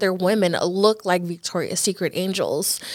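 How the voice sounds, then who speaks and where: A plain, everyday voice from a woman, medium in pitch, fairly slow, with fairly even intonation. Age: 20s. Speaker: podcast host. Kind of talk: casual chat.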